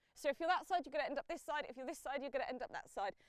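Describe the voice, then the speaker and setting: A woman speaks loudly. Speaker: parkour coach. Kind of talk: instruction. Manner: encouraging.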